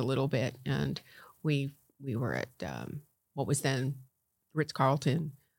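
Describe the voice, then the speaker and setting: Recorded very cleanly against a silent background, a woman speaks with an American accent. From Connecticut (Norwalk). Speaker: county commissioner and former professional golfer. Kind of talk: interview.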